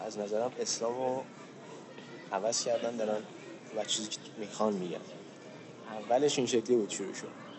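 Speaking at a fairly quick pace but with long, frequent pauses, a man uses a medium pitch and fairly even intonation amid audible room echo. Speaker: podcast co-host. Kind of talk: casual chat. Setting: outdoors on a park bench.

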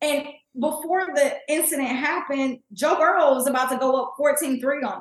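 With an American accent, a woman with a high pitch speaks at a moderate pace in fairly even intonation, her loudness swinging widely. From Kansas City, Missouri. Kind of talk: casual sports chat. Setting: video call.

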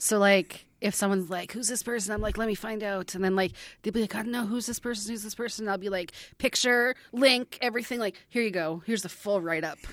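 A woman with a Canadian accent at a very fast pace, fairly even intonation, in a very clean recording with a silent background. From Edmonton, Alberta, Canada. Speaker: parenting blogger. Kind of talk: casual chat.

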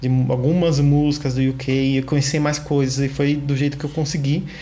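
The man's fairly high voice moves along at a fairly quick pace. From Brazil, São Paulo (south zone). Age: 20s. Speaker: podcast co-host. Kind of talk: casual chat. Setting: remote recording.

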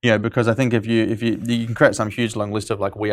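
A man speaks at a very fast pace with an Australian accent. The recording is very clean, with a silent background. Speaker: startup co-founder and CEO. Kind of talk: casual interview chat. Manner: fast talker.

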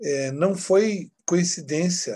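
Ordinary pitch variation runs through a man's voice, dark and mellow in tone. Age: 50s. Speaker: spiritual book publisher representative. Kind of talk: casual chat.

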